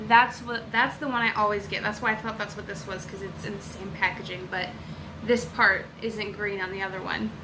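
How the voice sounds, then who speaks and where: A medium-pitched woman with an American accent at a fairly quick pace, big swings in loudness, noticeable background noise and audible room echo. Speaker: beauty vlogger. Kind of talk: unboxing video. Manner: animated.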